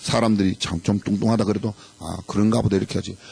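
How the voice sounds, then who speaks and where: Somewhat breathy, the man's voice moves along at a fairly quick tempo. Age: 60s. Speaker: pastor. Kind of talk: sermon. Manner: animated.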